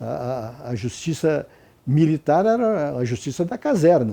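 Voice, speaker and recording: A man's fairly high, dark, mellow voice moves through very wide pitch swings. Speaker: retired judge and law professor. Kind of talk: interview. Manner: halting, many repetitions.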